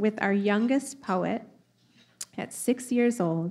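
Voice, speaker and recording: The pitch varies in an ordinary way. Crowd noise can be heard in the background. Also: woman. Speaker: event host. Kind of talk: formal event speech. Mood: warm, smiling. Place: hall. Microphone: podium.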